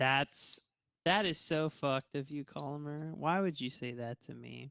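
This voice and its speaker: This man has a slight Southern US accent and a bright, sharp tone, speaking fairly slowly. His loudness swings widely, and the sound is dry and close with no echo. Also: fairly high pitch for a man, ordinary pitch variation. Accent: slight Southern twang. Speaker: esports caster. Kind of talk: casual chat. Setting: live stream.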